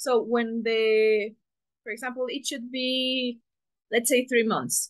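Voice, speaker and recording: Against a quiet background, a woman with a Spanish accent speaks very slowly in a high pitch with monotone, flat intonation. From Mexico. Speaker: engineering student presenter. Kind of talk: presentation. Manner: halting.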